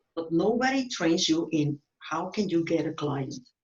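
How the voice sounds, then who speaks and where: A woman's fairly low-pitched, a normal speaking voice, with ordinary pitch variation. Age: 50s. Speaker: real estate agent. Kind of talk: interview.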